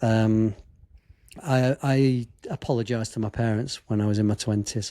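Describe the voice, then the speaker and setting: Here a man with a Derbyshire accent talks at medium pitch. His tone is dark and mellow, his intonation fairly even. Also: moderate pace. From English Midlands, Chesterfield. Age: 50s. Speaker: sports photographer and filmmaker. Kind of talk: podcast interview.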